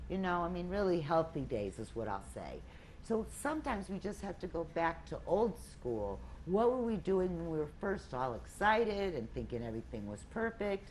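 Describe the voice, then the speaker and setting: With an American accent, the speaker shows vocal fry and very wide pitch swings at a moderate pace. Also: woman. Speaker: weight loss group leader. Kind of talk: group talk.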